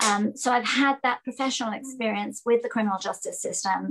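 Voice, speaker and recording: This woman has a fairly high pitch and speaks with an English accent. Her intonation stays fairly even. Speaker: judicial candidate, former public defender. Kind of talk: interview.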